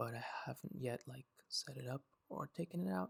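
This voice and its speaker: Soft-spoken delivery in a relaxed tone comes through. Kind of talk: ASMR unboxing, casual talk to camera. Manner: soft-spoken, relaxed.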